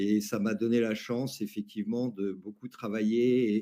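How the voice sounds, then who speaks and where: In a dark, mellow tone, a man speaks at a fairly slow pace with monotone, flat intonation. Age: 60s. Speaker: academic and labour market expert. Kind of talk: webinar panel discussion. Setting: online webinar.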